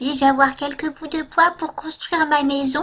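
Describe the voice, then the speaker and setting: Delivered at a moderate pace, the voice is a put-on character voice. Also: woman. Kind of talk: bedtime story. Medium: read story. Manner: polite, small.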